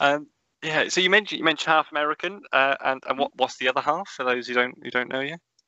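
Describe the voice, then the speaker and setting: Very fast speech in a Norfolk accent, with ordinary pitch variation. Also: man. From Norfolk, England. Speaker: podcast host. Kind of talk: casual interview chat.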